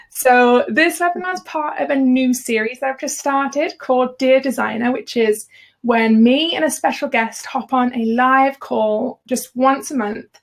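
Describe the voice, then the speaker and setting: A high-pitched woman's voice at a moderate pace, with a Birmingham accent. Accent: Birmingham (Brummie). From Birmingham, England. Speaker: freelance designer and business educator. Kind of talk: live webinar hosting. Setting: live video call webinar.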